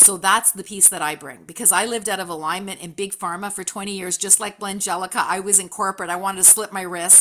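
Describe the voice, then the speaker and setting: The speech runs at a very fast pace with hardly any pauses over noticeable background noise. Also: woman, medium pitch for a woman. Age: 60s. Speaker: entrepreneur and coach. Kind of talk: networking call introduction. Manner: animated.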